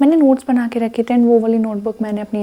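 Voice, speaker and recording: A soft-spoken voice at a moderate pace, with fairly even intonation. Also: woman. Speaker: Java developer and study vlogger. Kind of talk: casual study vlog with Hindi-English code-switching. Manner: soft-spoken, quiet.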